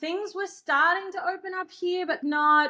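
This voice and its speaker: An Australian-accented woman's voice. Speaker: filmmaker. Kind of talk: interview answer. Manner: casual, chatty.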